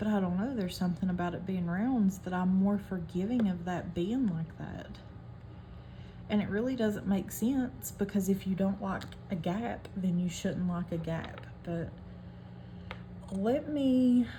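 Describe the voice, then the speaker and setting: In a strong West Virginia accent, a woman speaks fairly slowly at medium pitch with ordinary pitch variation, with noticeable background noise and audible room echo. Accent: thick West Virginia. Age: 30s. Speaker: hobby craft vlogger. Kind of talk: casual chat while crafting.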